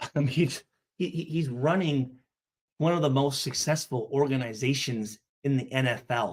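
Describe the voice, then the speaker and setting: A somewhat breathy voice talks at a moderate pace with very even loudness and ordinary pitch variation. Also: man, fairly high pitch for a man. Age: 40s. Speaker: live streamer reacting to comments. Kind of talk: reading and reacting to comments. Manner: angry and animated, lots of swearing.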